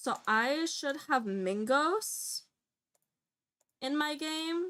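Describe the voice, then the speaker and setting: A woman speaks loudly with lively intonation. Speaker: gaming streamer. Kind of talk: live game stream commentary.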